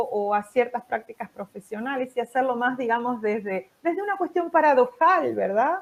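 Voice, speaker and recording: Speaking at a moderate pace, a woman has a high-pitched voice. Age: 60s. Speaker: psychologist. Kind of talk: interview. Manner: halting, many fillers.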